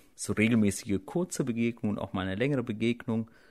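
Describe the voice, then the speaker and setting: A man's unremarkable speaking voice, medium in pitch with ordinary pitch variation, on a very clean recording with a silent background. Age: 30s. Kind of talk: interview.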